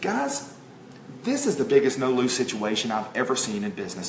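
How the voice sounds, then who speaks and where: A man speaks against noticeable background noise. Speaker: network marketing promoter. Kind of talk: sales pitch. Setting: home livestream at kitchen table. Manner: loud; animated.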